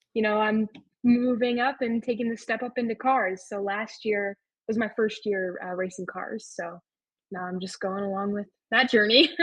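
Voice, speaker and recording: This woman has a General American accent, a fairly high, somewhat breathy voice and fairly even intonation. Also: moderate pace. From Arizona. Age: 18. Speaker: race car driver. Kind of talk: podcast interview. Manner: casual, many fillers.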